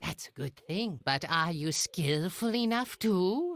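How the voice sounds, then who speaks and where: A man's put-on character voice, high-pitched and fairly slow, with a dry, close sound and no echo. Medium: video game. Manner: pompous, boastful.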